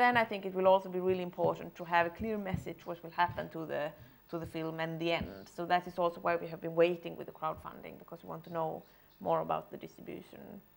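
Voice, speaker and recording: Talking at a very fast pace in a Swedish accent, a woman's voice swings widely in loudness. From Sweden. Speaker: film director. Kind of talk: Q&A at presentation.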